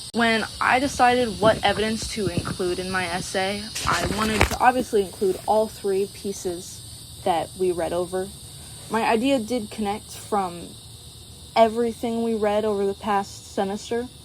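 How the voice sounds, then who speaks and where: A quiet woman's voice at medium pitch, moderate pace and fairly even intonation, over noticeable background noise. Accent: American. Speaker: college student. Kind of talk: class presentation. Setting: outdoors at sunset.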